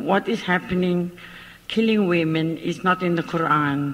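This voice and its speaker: Noticeable background noise behind fairly slow delivery. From South Africa, Cape Town. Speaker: audience member. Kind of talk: public meeting discussion.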